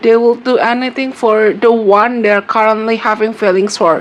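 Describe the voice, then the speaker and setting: A woman with an Indonesian accent and a fairly high pitch, amid noticeable background noise. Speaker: tarot reader. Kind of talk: tarot reading monologue. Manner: hesitant, repetitive with fillers.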